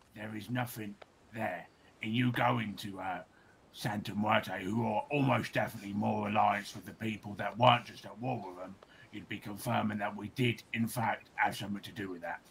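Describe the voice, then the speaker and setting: Putting on a character voice, a man speaks at a fairly low pitch. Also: moderate pace. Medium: game stream.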